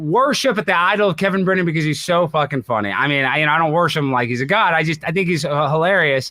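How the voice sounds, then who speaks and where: In a raised, projected voice with a bright, sharp tone, a man talks at a very fast pace. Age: 30s. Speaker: internet personality. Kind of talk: casual chat.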